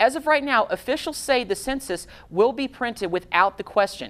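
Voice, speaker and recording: A woman with an American accent, an ordinary speaking voice, lively intonation and a moderate pace. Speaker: TV news anchor. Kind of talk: local TV news anchor read. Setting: TV newsroom studio.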